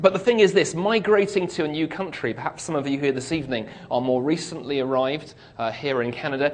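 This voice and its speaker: Through noticeable background noise and audible room echo, a man with a British accent speaks with ordinary pitch variation. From UK. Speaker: speaker. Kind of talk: talk to an audience. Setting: stage with audience. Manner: humorous, conversational.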